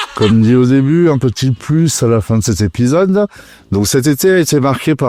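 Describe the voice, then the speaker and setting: A man speaks at a moderate pace in a dark, mellow tone with lively intonation. The recording is very clean, with a silent background. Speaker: metal music podcast host. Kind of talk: scripted podcast narration.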